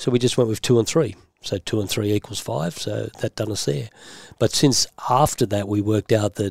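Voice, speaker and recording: Speaking with an Australian accent, a man talks at a fairly quick pace in a fairly low voice with ordinary pitch variation. The recording is very clean with a silent background and a dry, close sound with no echo. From Australia, western Sydney. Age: old. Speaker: former racing driver, body repair business owner. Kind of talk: interview.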